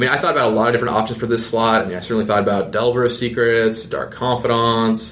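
A man at a medium pitch, talking very fast with hardly any pauses, in a monotone, flat delivery, with audible room echo and noticeable background noise. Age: 20s. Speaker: game designer. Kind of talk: casual chat.

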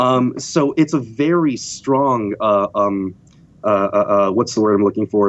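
A man speaks at a fairly slow pace. He has an unremarkable speaking voice with ordinary pitch variation. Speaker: dungeon master and voice actor. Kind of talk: casual chat.

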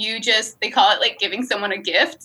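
A woman with an upstate New York accent speaks in a fairly high voice with a bright, sharp tone. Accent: upstate New York American. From upstate New York, near Albany. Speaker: comedy writer and performer. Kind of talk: casual interview chat.

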